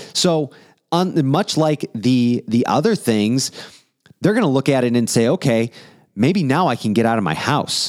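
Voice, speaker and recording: A man with an American accent and an unremarkable speaking voice, medium in pitch, fairly slow, with lively intonation and very even loudness, on a very clean recording with a silent background and a dry, close sound without echo. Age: 30s. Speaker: podcast host. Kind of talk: casual chat.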